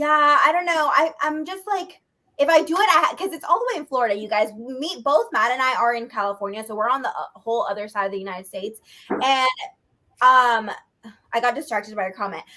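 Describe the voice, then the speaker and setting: A woman's raised, projected voice, high-pitched and bright and sharp, with very wide pitch swings, big swings in loudness, and a fairly quick pace. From Mexico. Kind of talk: casual chat. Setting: live stream video chat.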